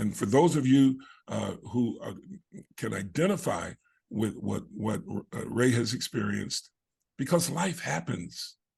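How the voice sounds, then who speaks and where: A man speaks at a fairly slow pace. Long, frequent pauses break up his speech. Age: 60s. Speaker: online program host. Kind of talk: video call interview. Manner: halting, many fillers.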